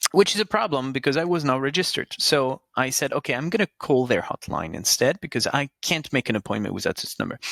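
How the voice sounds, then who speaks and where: In a French accent, the voice races along at a very fast pace with lively intonation, the sound dry and close with no echo. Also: man, fairly high pitch for a man, hardly any pauses. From France. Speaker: podcast host, customer experience professional. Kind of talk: casual chat.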